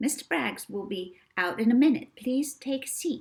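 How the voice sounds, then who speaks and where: A woman's squeaky, put-on character voice at a high pitch, with lively intonation and a moderate pace. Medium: read story.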